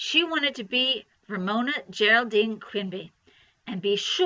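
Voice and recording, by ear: Someone is reading aloud in a natural voice against a quiet background.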